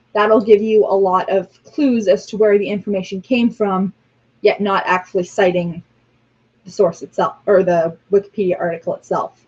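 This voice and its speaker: A woman's plain, everyday voice, fairly high in pitch, at a moderate pace. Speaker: religious class teacher. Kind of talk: online class lecture. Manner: frequent filler ums.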